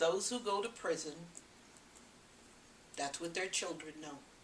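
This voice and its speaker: A woman speaks with a fairly low pitch. Noticeable background noise and audible room echo surround her voice. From US West Coast, Los Angeles. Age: 80s+. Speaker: parenting educator. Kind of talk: talk to an audience.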